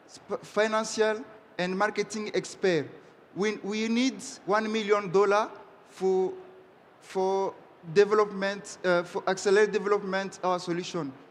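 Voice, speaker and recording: Someone with a French accent speaks at a fairly slow pace, leaving long, frequent pauses. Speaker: startup founder pitching. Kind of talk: pitch and Q&A with judges. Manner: halting.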